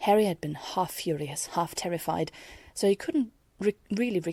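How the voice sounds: This is a natural reading voice.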